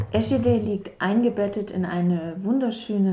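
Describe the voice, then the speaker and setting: A woman speaks very slowly in a somewhat breathy voice with a dark, mellow tone. Her intonation is lively. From southern Baden-Württemberg. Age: 30s. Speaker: mother of four, local resident. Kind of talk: podcast interview. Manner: hesitant, many fillers.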